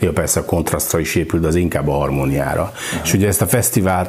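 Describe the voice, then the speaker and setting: Over noticeable background noise, a man talks at a fairly quick pace in a very deep, low pitch. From Hungary, north shore of Lake Balaton. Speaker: festival director and founder. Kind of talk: podcast interview.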